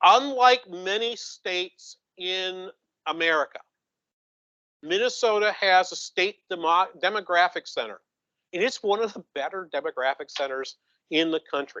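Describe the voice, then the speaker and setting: A man's high, bright, sharp voice with a New England accent, raised and projected, at a moderate pace with long, frequent pauses, ordinary pitch variation, and a dry, close sound with no echo. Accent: New England accent, noticeable. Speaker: economist. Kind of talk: conference presentation. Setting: conference room with audience. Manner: halting, many repetitions.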